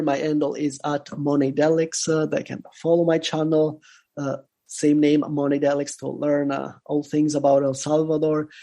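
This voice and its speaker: Speaking at a moderate pace, a man with a fairly high pitch and a dark, mellow tone keeps his intonation monotone and flat. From Italy. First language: Italian. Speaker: bitcoin content creator. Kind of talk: casual interview. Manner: halting, many fillers.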